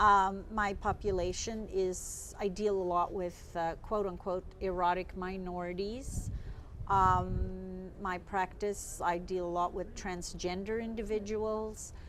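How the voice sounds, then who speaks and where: The delivery is very slow, with monotone, flat intonation. Room echo is audible. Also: woman, medium pitch for a woman. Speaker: psychotherapist and sex researcher. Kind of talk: interview. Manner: loud.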